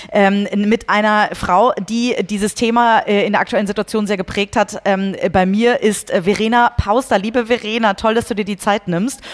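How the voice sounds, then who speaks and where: An unremarkable speaking voice from a woman, fairly high in pitch, at a moderate pace with fairly even intonation and hardly any pauses. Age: 30s. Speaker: podcast host and company CEO. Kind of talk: interview.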